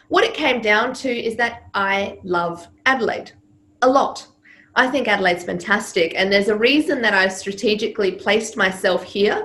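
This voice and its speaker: Audible room echo surrounds a woman's bright, sharp voice at a fairly high pitch, with ordinary pitch variation and a moderate pace. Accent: slight Serbian. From Serbia. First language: Serbian. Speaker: public speaking coach. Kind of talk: interview.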